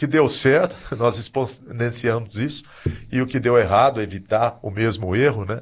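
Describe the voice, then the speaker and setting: A man talks in a somewhat breathy voice at medium pitch with ordinary pitch variation. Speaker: swim school owner. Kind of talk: podcast discussion.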